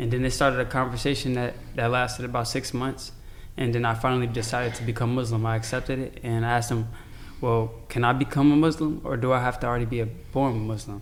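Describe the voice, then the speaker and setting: A man with an American accent at a very fast pace, medium-pitched and monotone with flat intonation, with audible room echo. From Chicago, US. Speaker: convert to Islam. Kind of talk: casual chat.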